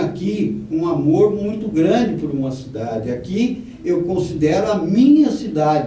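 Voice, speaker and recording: Audible room echo accompanies a man talking at a very slow pace. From Brazil, Vale do Paraíba (São José dos Campos from age 12). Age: 70s. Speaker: former local footballer, politician and sports commentator. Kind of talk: TV interview.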